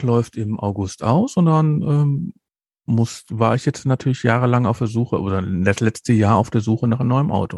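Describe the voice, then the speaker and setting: An ordinary speaking voice from a man at medium pitch, moderate pace and lively intonation, with a dry, close sound, no echo and a quiet background. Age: 50s. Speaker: podcast host. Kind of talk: casual chat.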